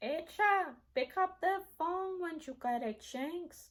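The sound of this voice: In a put-on character voice, a woman talks at an extremely high pitch with lively intonation and a fairly slow pace.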